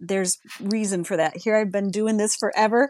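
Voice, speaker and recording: A woman's plain, everyday voice at a moderate pace, with a dry, close sound with no echo over a quiet background. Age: 60s. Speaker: licensed professional counselor. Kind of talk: interview.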